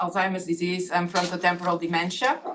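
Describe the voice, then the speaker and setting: A woman speaks with a Catalan accent. Her pitch is medium. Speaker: neuroscientist on advisory task force. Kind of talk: speaker introductions at online meeting. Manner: halting, many fillers.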